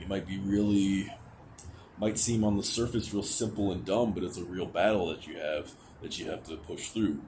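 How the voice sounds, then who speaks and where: A man at a fairly low pitch with ordinary pitch variation, big swings in loudness, a moderate pace and audible room echo. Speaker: vlogger. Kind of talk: personal vent vlog. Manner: halting; pitch rises when anxious.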